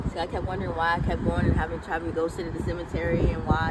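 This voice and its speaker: A woman speaks at a very fast pace. Audible room echo and noticeable background noise surround her. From Oakland, California. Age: 30s. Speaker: person in addiction recovery. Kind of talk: interview testimony. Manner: halting.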